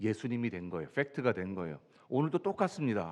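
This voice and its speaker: Over a quiet background, a man's voice makes very wide pitch swings. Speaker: pastor. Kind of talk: sermon. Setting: church.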